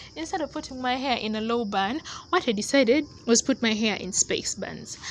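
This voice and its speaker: This woman has a non-native accent and a high pitch. She talks at a fairly quick pace. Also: ordinary pitch variation. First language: not English. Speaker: hair care vlogger. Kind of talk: casual tutorial voiceover. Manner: casual, conversational.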